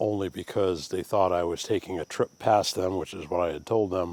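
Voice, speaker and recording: A man's very deep, low-pitched voice in a Maine accent, relaxed in tone, with fairly even intonation. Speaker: woodturner and craft vlogger. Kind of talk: casual vlog monologue. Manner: relaxed, with frequent fillers.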